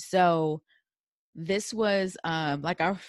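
A woman with an unremarkable speaking voice talks at fairly low pitch with ordinary pitch variation against a quiet background. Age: 30s. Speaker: podcast host. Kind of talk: casual chat.

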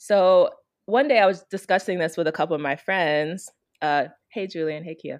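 With an American accent, this unremarkable speaking voice moves at a moderate pace with ordinary pitch variation and big swings in loudness, on a very clean recording with a silent background. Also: woman, fairly low pitch for a woman. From Chicago, Illinois. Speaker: consultant and author. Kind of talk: interview.

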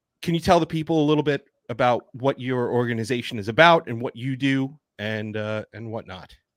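Dry and close with no echo, a man in an unremarkable speaking voice talks at a fairly quick pace and medium pitch, with ordinary pitch variation and big swings in loudness. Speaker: podcast co-host. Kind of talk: casual podcast interview.

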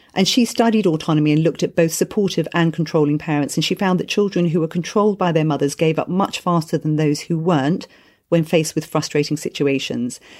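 With a British accent, a woman talks very fast with ordinary pitch variation on a very clean recording against a silent background. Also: fairly low pitch for a woman, hardly any pauses, very even loudness. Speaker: podcast host and parenting coach. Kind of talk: casual chat.

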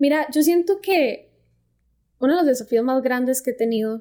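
A woman speaks with a Costa Rican accent in a dark, mellow tone. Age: 20s. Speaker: fashion design student and content creator. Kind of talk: casual interview.

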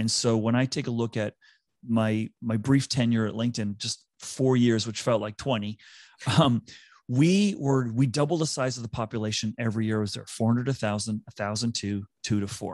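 Against a quiet background, a man with a normal speaking voice talks at a moderate pace and medium pitch with fairly even intonation, the sound dry and close with no echo. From US East Coast. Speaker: talent advisor, former HR executive. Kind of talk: interview.

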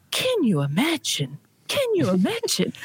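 In a put-on character voice that sounds female, the speaker talks at a moderate pace with a non-native accent. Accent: fun foreign. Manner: amused, repeating a catchphrase.

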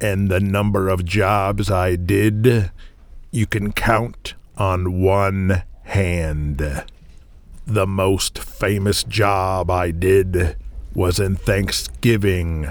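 A man uses a put-on character voice with a very deep, low pitch. He talks very slowly, with fairly even intonation. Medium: audio drama. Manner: blunt, commanding.

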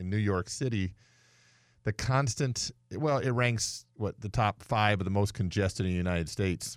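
With a fairly low pitch and lively intonation, this man has a normal speaking voice. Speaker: radio host and mechanic. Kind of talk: casual call-in radio show. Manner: conversational, bantering.

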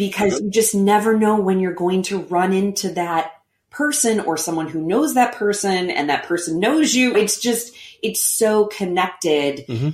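A woman in a normal speaking voice, medium in pitch, with an American accent, lively intonation and a moderate pace. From Missouri, St. Louis. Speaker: stage actress. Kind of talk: casual interview chat.

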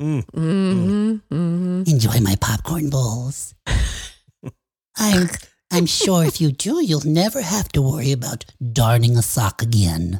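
This is a put-on character voice with a low-to-middle pitch. It moves at a very slow pace. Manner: witchy, cackling.

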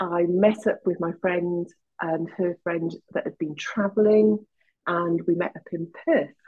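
A woman speaks in a Welsh accent at a very slow pace. Her pitch is fairly low, with ordinary variation. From Wales. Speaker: kinesiologist. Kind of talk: casual chat.

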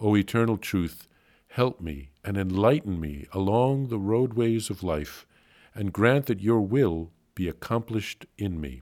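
Over a very clean recording with a silent background, a normal speaking voice carries lively intonation. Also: man, fairly low pitch for a man. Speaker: priest reading a diary aloud. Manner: earnest, solemn and devout, with intensity building in the pleading, resolute lines.

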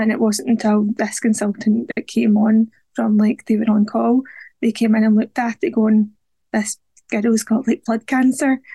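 A woman talks at a moderate pace with a fairly high pitch, a dark, mellow tone and a slightly husky edge with vocal fry. Her pitch moves little, and the sound is dry and close with no echo.

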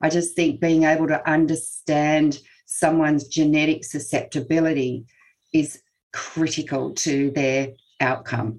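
Speaking with an Australian accent, a woman uses a very deep, low pitch at a fairly slow pace, her loudness very even and her intonation fairly even. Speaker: naturopath and health researcher. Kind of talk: expert interview.

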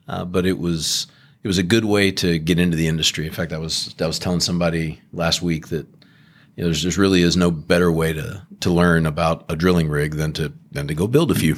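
A very deep, low-pitched man with a Texan accent, at a fairly quick pace with fairly even intonation. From Southeast Texas, Beaumont. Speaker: energy company executive. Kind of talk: interview. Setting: office tower.

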